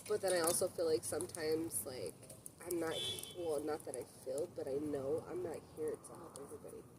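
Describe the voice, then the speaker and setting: With noticeable noise in the background, the talking proceeds fairly quickly. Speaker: podcast co-host. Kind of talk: casual chat. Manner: loud.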